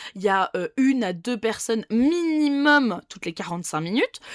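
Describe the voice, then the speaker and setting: A woman's pitch swings very widely. The recording is very clean with a silent background, the sound dry and close with no echo. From France, Dijon. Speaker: nail technician. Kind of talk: casual vlog monologue. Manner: casual, with many fillers and restarts.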